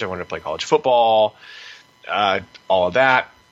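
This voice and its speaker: Against noticeable background noise, a man with an American accent talks at a moderate pace and a medium pitch, with ordinary pitch variation. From United States. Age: 20s. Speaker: PhD student and grappling competitor. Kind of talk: interview.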